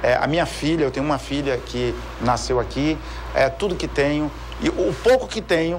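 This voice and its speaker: Noticeable noise fills the background as a man talks at a moderate speed. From Brazil, Brasília. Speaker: audit court president. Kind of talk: TV interview.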